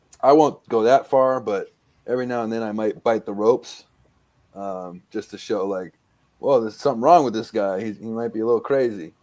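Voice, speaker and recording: Speaking fairly quickly in a dark, mellow tone, a man shows big swings in loudness. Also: ordinary pitch variation, very clean recording, silent background. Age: 30s. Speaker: independent pro wrestler. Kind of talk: podcast interview. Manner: hesitant, many fillers.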